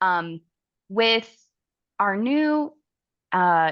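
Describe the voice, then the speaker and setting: A woman with an Oklahoma accent, very wide pitch swings and a quiet background. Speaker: travel advisor and software account manager; software trainer. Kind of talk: webinar tutorial. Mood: friendly, enthusiastic.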